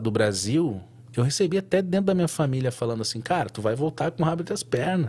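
A somewhat breathy man with a fairly high pitch talks at a very fast pace. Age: 30s. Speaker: tattoo artist. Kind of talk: casual interview chat.

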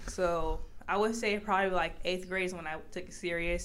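A woman with an American accent speaks at a fairly low pitch. Her intonation is fairly even, and there is audible room echo. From Los Angeles, US. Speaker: college basketball player. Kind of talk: interview. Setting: video call.

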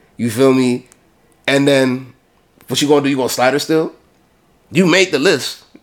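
With long, frequent pauses, a man speaks at a moderate pace, his pitch fairly high and its variation ordinary. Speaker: podcast host. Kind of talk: heated argument, pressing a hypothetical at his cohost. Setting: studio.

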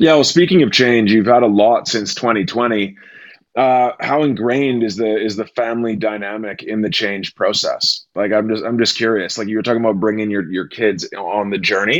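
With an ordinary speaking voice, a man talks at a moderate pace and ordinary pitch variation against a quiet background. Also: medium pitch for a man. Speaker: podcast co-host. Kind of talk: casual interview.

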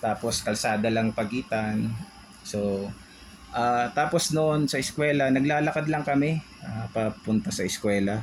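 Against noticeable background noise, a man talks at a fairly slow pace with ordinary pitch variation. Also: medium pitch for a man. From Philippines, Tondo, Manila. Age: 40s. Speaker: podcast co-host. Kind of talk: casual chat.

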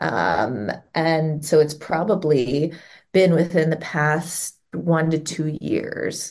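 Speaking very slowly with a Midwestern American accent, a woman uses a very deep, low pitch and vocal fry. Her pitch varies in an ordinary way. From US Midwest, Cincinnati, Ohio. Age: 40s. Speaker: parent. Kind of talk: interview.

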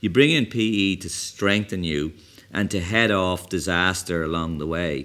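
In an Irish accent, a man speaks in a very deep, low pitch with ordinary pitch variation, in a very clean recording with a silent background. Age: 50s. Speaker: tech entrepreneur. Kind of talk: interview. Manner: energetic.

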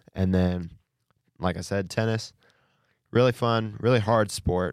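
A man with an American accent speaks at a moderate pace with fairly even intonation. The sound is dry and close with no echo, a very clean recording with a silent background. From Indiana. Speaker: college student podcast co-host. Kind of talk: casual chat.

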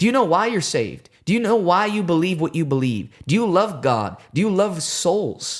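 Speaking in a high pitch with very wide pitch swings, a man sounds animated as he talks at a moderate pace with hardly any pauses. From Puerto Rican family, Chicago. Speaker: evangelist. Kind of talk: casual chat; preaching. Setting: studio livestream.

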